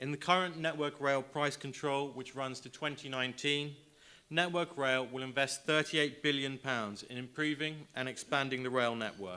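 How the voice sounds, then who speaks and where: A man talks with a British accent. His pitch sits fairly high. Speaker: government trade specialist. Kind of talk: conference presentation. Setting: stage with audience. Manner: fast.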